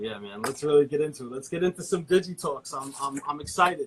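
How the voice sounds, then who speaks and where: At a fairly quick pace, a man talks in a fairly high-pitched voice. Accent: slight New York. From New York. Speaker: podcast host. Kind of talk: interview.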